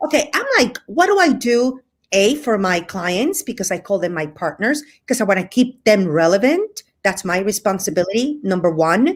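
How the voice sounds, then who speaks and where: A woman speaks at a moderate pace and medium pitch with a Cuban accent. Her pitch swings very widely. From Spain, with Cuban family ties. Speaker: hotel representation business owner. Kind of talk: casual interview chat. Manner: animated.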